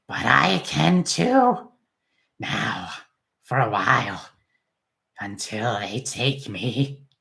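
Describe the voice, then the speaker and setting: A man puts on a raspy character voice at a medium pitch. He speaks at a very slow pace, with long, frequent pauses. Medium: read story. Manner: erratic, unhinged.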